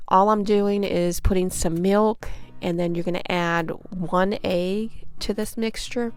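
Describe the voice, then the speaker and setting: Music plays in the background. The speaker talks at a fairly slow pace with fairly even intonation. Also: woman, medium pitch for a woman. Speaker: home cook. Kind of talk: cooking tutorial talk to camera. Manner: casual, friendly.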